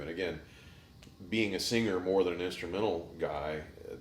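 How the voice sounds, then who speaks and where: Amid audible room echo, a man talks at a fairly quick pace. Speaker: singer. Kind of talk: interview.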